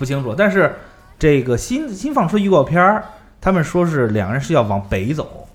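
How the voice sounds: Moderate pace with big pitch swings. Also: man, fairly high pitch for a man.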